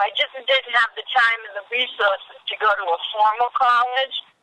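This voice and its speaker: Speaking in a Boston accent, a woman uses a high pitch at a moderate pace. The sound is dry and close, with no echo. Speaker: casting director. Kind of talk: interview.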